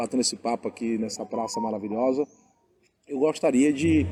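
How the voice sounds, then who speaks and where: A man with a dark, mellow tone at a fairly quick pace. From Bahia, Brazil. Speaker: pastor and interviewer. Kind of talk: interview. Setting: outdoors in a town square.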